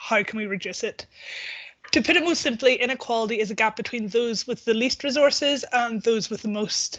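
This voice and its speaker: A woman's fairly high voice, bright and sharp in tone, with ordinary pitch variation. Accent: Northern Irish. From Northern Ireland. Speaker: policy researcher at a charity. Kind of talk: online presentation. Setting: video call.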